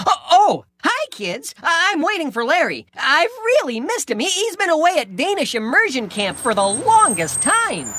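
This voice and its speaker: A cartoonish character voice sits at an extremely high pitch with very wide pitch swings. The pace is moderate. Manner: stammering, earnest.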